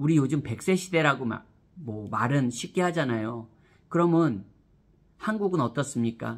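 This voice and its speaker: A man with a fairly high pitch speaks at a fairly slow pace, his tone animated and intonation lively. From South Korea. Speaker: education YouTuber; vlogger giving career advice. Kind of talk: vlog monologue to camera. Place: home room. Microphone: phone near.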